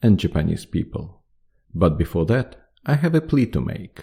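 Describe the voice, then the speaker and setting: Somewhat breathy, this man speaks with a non-native accent. His pace is moderate. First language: not English. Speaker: podcast host. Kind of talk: podcast monologue. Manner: halting.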